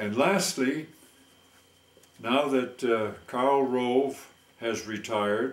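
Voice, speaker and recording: Speaking at a very slow pace, a man keeps a medium pitch with fairly even intonation. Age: 80s+. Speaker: war veteran. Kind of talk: satirical monologue.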